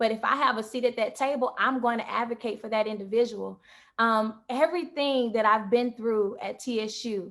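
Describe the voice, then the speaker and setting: Speaking at a moderate pace with fairly even intonation, a woman with a fairly high pitch is heard on a very clean recording with a silent background. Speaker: former university queen, book author. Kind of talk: panel interview.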